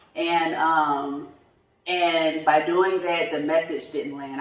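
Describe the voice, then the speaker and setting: The speech is fairly slow, with a Southern US accent. Room echo is audible. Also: woman. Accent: Southern twang. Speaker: tax business coach. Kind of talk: podcast interview. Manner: casual, informal speech with fillers.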